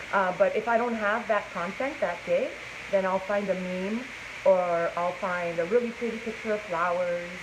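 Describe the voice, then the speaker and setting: There is audible room echo as a woman speaks at a moderate pace. Her pitch is medium and her intonation fairly even. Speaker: plus size model. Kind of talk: casual live-stream interview. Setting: inside a clothing store, Facebook live stream. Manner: naturally loud.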